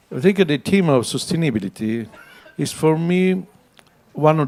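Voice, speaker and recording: His tone dark and mellow, the man talks at moderate speed while his pitch swings very widely. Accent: Italian. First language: Italian. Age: 60s. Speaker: architect. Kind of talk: panel talk. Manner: halting.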